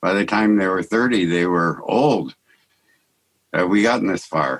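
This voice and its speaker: A man with an American accent, very deep and low in pitch, with ordinary pitch variation. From US West Coast, Santa Barbara. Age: 70s. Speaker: artist and mystic, podcast guest. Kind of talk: conversational interview. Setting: video call. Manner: halting.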